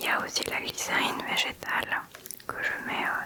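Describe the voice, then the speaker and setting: A woman is whispering. Background noise is noticeable. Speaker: ASMR content creator. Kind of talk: casual ASMR chat talking to the camera about her travel bag and skincare. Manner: whispered, soft-spoken.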